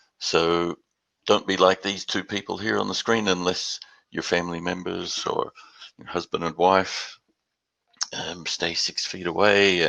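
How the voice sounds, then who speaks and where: Speaking in an Australian accent, a man with a very deep, low voice and a bright, sharp tone delivers his words in a flat monotone at a fairly slow pace, with long, frequent pauses. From Australia, Perth; later Houston. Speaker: industry presenter. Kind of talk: webinar presentation.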